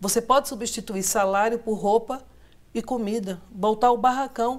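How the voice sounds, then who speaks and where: A woman with a Pernambuco accent speaks at a fairly high pitch with fairly even intonation. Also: moderate pace. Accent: Pernambuco accent, noticeable. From Pernambuco, Brazil. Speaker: sociologist, professor. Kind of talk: TV political debate.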